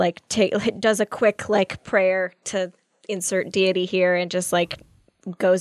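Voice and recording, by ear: The clip features reading aloud in a natural voice against a quiet background.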